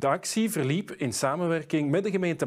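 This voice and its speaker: A man with an ordinary speaking voice talks at a fairly quick pace with lively intonation over a quiet background. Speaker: news reporter. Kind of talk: news reading. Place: studio.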